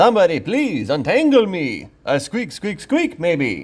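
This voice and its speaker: A man puts on a character voice, high in pitch, delivered at a fairly slow pace. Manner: squealing, panicked, comic.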